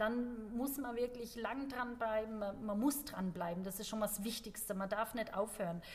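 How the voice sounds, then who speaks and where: A woman speaks at a moderate pace in a fairly high voice, her intonation fairly even, with noticeable background noise. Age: 40s. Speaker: CrossFit gym member and ultrarunner. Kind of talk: casual chat. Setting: studio, seated at a table.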